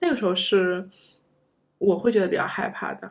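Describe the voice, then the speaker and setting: A woman's medium-pitched voice, a plain, everyday voice, at a moderate pace. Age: 30s. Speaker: former PhD student. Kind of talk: casual interview chat.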